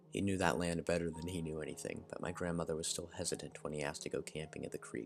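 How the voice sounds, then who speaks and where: A man speaks very fast at a very deep, low pitch, with ordinary pitch variation. Music plays in the background. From Arkansas. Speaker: story narrator. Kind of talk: reading aloud. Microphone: poor mic quality, not usual mic.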